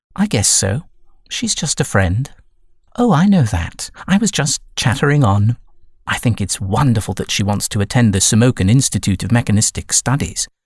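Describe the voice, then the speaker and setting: A man with a British accent, somewhat breathy, speaks at a moderate pace with very wide pitch swings on a very clean recording with a silent background. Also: medium pitch for a man. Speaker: voice actor. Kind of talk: audiobook narration.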